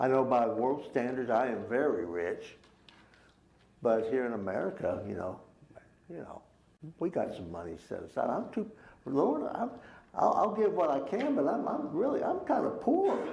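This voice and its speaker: A man with a Texas accent, long, frequent pauses and audible room echo. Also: moderate pace. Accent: Texas Southern US. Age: 70s. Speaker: Sunday school teacher. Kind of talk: Bible class teaching.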